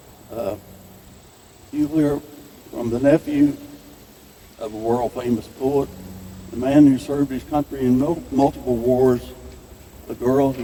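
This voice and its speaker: Against noticeable background noise, a man with a Midwestern US accent talks at a fairly slow pace with fairly even intonation. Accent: rural Midwestern American. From northern Missouri, US Midwest. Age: 80s+. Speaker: farmer and event host. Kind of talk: welcome speech. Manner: casual, folksy with hesitations.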